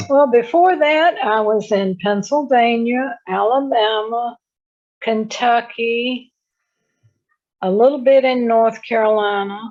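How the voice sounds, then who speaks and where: This voice has a Southern US accent and ordinary pitch variation. The speech moves at a very slow pace. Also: woman, fairly high pitch for a woman. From Richmond, Virginia, US South. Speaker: retired spiritual organization president. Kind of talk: interview.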